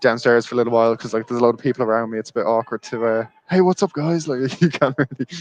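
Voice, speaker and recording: A man with an Irish accent talks at a very fast pace and medium pitch. His pitch varies in an ordinary way, and the sound is dry and close with no echo. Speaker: football channel presenter at the match. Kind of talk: casual chat.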